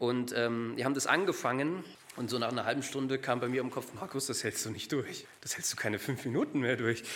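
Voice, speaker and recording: Audible room echo surrounds a man speaking at medium pitch and a fairly quick pace, with ordinary pitch variation. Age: 30s. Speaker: lay preacher. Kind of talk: sermon. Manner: halting.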